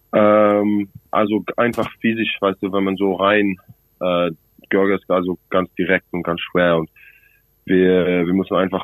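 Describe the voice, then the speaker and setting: This man's voice is very deep and low in pitch. He speaks at a fairly slow pace in a monotone, flat intonation. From South Africa, Cape Town. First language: English (speaking German). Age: 20s. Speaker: rugby player. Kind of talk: phone interview. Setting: phone call. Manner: halting.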